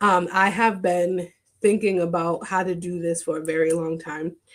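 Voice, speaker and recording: Delivery is fairly slow, with monotone, flat intonation. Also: woman. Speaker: therapist and podcast host. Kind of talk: live stream monologue. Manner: quiet, straining to project.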